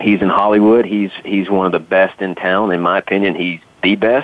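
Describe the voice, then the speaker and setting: Someone speaks in a Southern US accent at a fairly slow pace. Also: man. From US South. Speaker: actor. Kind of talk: casual chat.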